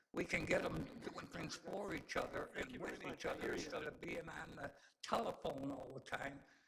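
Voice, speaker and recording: There is audible room echo around this man's voice. He talks at a moderate pace. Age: 80s+. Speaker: community advocate speaking at public comment. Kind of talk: public comment at council meeting. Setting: city council meeting. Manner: rambling, halting.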